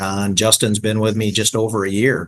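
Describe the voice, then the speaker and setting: A man with a normal speaking voice and an American accent talks at a moderate pace and a fairly low pitch. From Michigan. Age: 60s. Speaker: franchise business owner. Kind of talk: podcast interview.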